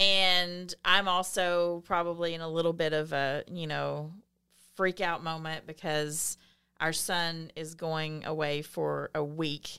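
In a very clean recording with a silent background, a woman speaks with a Southern US accent at a fairly low pitch. Her tone is bright and sharp, her intonation monotone and flat, and her pace very slow. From US South.

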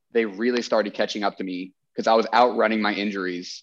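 A man speaks with an American accent at a fairly quick pace, in an unremarkable speaking voice. His pitch is medium and his intonation fairly even. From Texas. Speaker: chiropractor and former CrossFit athlete. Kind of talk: casual interview.

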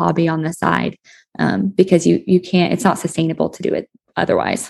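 A woman with vocal fry at a fairly quick pace. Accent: American. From southeastern Colorado. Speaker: horse business marketing manager. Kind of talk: interview.

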